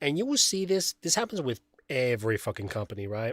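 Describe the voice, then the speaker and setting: A man with a non-native accent speaks at a moderate pace with lively intonation, in a very clean recording with a silent background and a dry, close sound with no echo. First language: not English. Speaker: streamer. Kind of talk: casual live stream commentary.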